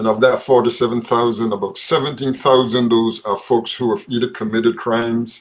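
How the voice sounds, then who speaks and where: With a Barbadian accent, a man talks at a fairly quick pace in a medium pitch. The background is quiet. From Barbados. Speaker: probation service head. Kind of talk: panel interview. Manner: repeats words often.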